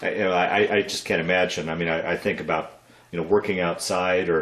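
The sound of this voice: Audible room echo surrounds a man talking at a fairly quick pace in a low pitch with fairly even intonation. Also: fairly bright tone.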